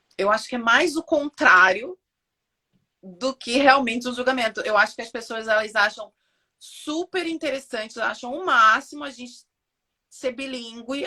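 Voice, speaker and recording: A woman's high, bright, sharp voice at a moderate pace. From Brazil. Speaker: physiotherapist. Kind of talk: casual interview on a live stream.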